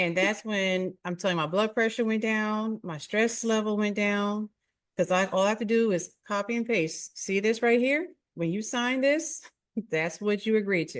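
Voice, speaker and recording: In a quiet background, a woman with a fairly high pitch speaks with a slight Philadelphia accent. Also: ordinary pitch variation, moderate pace. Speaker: podcast host. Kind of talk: casual interview chat.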